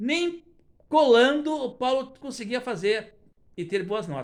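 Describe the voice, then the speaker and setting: Lively intonation marks this man's extremely high-pitched voice. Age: 70s. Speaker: retired teacher. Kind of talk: testimony.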